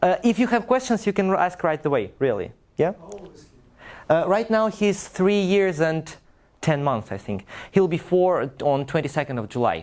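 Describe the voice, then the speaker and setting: A man talks in a high pitch with very wide pitch swings. He leaves long, frequent pauses. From Russia. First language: Russian. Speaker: language teacher. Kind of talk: talk to a live audience.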